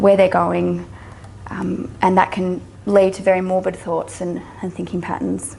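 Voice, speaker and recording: A woman's medium-pitched voice with an Australian accent at a moderate pace, with noticeable background noise. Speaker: psychologist and social worker. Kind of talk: lecture. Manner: halting.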